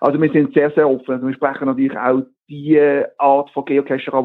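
A man speaks fairly quickly in a fairly high pitch. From Basel region, Switzerland. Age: 40s. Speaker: geocaching event organiser. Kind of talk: interview.

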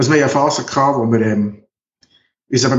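Speaking with fairly even intonation, a man of medium pitch has an unremarkable speaking voice. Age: 50s. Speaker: geriatric nurse and documentary filmmaker. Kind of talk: interview.

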